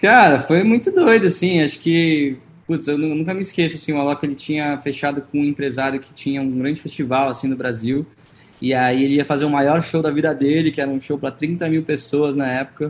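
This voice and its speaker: Speaking at a fairly quick pace, a man with a fairly high pitch uses ordinary pitch variation. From Brazil. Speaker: singer-songwriter. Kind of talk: interview.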